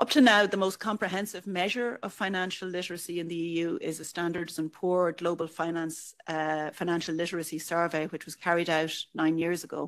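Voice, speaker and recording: On a very clean recording with a silent background, a speaker with an Irish accent goes at a fairly quick pace, with fairly even intonation and hardly any pauses. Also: woman, fairly low pitch for a woman. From Ireland. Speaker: EU official. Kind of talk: conference speech.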